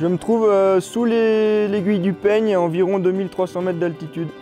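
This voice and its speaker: Music plays behind a man with a high-pitched voice. He talks fairly quickly, and his intonation stays fairly even. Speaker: mountain guide. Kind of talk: staged radio distress call. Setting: radio transmission.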